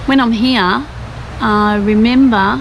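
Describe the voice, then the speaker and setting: Very slow speech in an Australian accent, with audible room echo and noticeable background noise. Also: woman. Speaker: travel vlogger. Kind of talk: casual chat; scripted narration.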